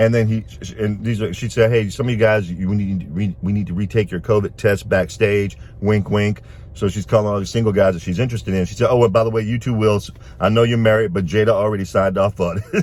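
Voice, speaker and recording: A man with a fairly low voice talks at a fairly quick clip in an animated tone. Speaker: video blogger, commentator. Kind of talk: casual commentary monologue. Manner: fast.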